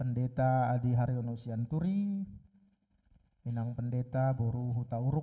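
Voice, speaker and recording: A man speaks very slowly, with long, frequent pauses. His voice is medium in pitch, with a dark, mellow tone. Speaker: pastor. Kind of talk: sermon; scripture reading. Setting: church service, live streamed.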